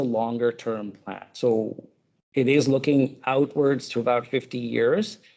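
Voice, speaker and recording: Loud and dark with a mellow tone, a man's voice carries this clip. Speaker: urban planning consultant. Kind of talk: public presentation. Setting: public meeting with audience. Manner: halting, many fillers; speaking up loudly.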